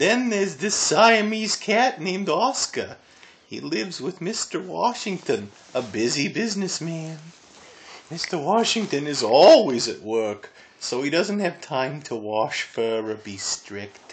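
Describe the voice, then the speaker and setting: At a middle pitch, a put-on character voice moves through very wide pitch swings at a fairly slow pace. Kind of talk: children's picture book reading. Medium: read story. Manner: chatty, good-humoured.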